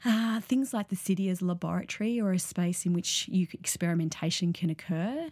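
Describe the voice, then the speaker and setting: A woman with an Australian accent, medium in pitch, fairly quick, with ordinary pitch variation. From Sydney, western suburbs, Australia. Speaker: artist and public art researcher. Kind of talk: interview. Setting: studio. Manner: hesitant, many fillers.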